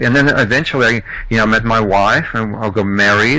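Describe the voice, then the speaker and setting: With a slight Australian accent, a man of medium pitch speaks at a fairly quick pace. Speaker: entrepreneur, podcast guest. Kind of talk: interview. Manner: halting.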